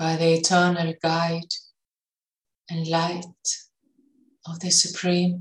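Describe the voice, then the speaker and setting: Very slowly and with long, frequent pauses, a woman speaks at a fairly low pitch in a calm, soothing, somewhat breathy tone with monotone, flat intonation. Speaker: meditation guide. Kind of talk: guided meditation. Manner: slow, calm, soothing with long pauses; gentle, soft-spoken.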